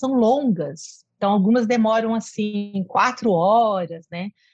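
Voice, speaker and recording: Lively intonation marks this woman's fairly high, somewhat breathy voice, heard with a dry, close sound and no echo. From interior of São Paulo state, Brazil. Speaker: music professor. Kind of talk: interview.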